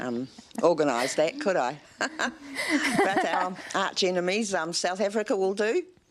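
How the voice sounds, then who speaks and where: With noticeable background noise behind her, a woman speaks in very wide pitch swings. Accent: New Zealand. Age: 70s. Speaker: rugby fan. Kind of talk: TV interview.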